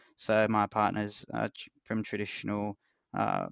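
The voice belongs to a man with an Australian accent. It sits fairly low in pitch. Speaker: hedge fund trader. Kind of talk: casual interview conversation.

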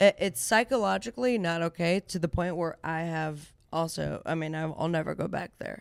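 An unremarkable speaking voice with lively intonation and hardly any pauses. The recording is very clean, with a silent background. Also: woman, fairly low pitch for a woman, moderate pace. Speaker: radio host and comedian. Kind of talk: casual chat.

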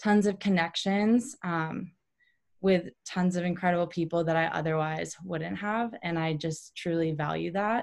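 The woman speaks in an ordinary speaking voice with an American accent, at a fairly slow pace. Her pitch is fairly low with ordinary variation, against a quiet background. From Ohio, Cleveland area. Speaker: running coach and former pro runner. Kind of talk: interview.

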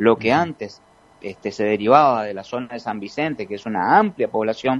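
This man speaks with lively intonation. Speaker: provincial health minister. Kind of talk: radio interview. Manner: halting, frequent repetitions and fillers.

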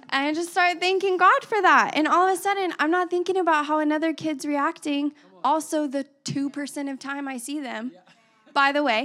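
With music in the background, a raised, projected voice with an American accent moves at a moderate pace and ordinary pitch variation. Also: woman, high pitch for a woman. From West Texas (Abilene). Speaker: pastor's wife, preacher. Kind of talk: sermon. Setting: church. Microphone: handheld mic, maybe held too far.

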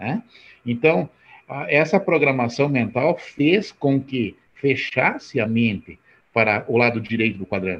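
A man with a medium-pitched voice talks at a very slow pace. His intonation is lively. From rural Brazil. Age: 60s. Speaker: network marketing entrepreneur. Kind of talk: motivational talk.

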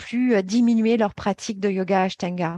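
A woman speaks in a normal speaking voice at medium pitch, with ordinary pitch variation and a fairly slow pace. The sound is dry and close with no echo, against a quiet background. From Paris, France. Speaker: yoga therapy trainer. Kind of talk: interview.

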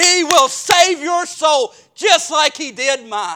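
This man's voice is raised and projected, pitched extremely high. His tone is bright and sharp. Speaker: Baptist preacher and pastor. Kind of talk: sermon. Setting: church.

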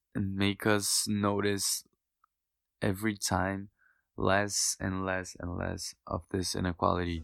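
A man with a Portuguese accent at a fairly low pitch, very slow and monotone with flat intonation, in a very clean recording with a silent background and a dry, close sound with no echo. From Brazil, a smaller city. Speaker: medical student. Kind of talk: casual interview chat.

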